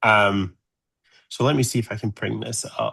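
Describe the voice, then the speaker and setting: A medium-pitched man with an American accent and a bright, sharp tone, over a quiet background. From Scotland, Glasgow. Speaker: solar physicist. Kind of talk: presentation to amateur radio group.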